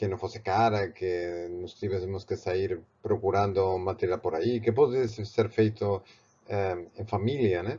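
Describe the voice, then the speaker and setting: A man's somewhat breathy, fairly low voice with a Spanish accent, fairly even intonation and a fairly slow pace. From Spain, Barcelona. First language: Spanish (or Catalan) (speaking Portuguese). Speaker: art professor and painter. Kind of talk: tutorial. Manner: halting, with repeated words and fillers.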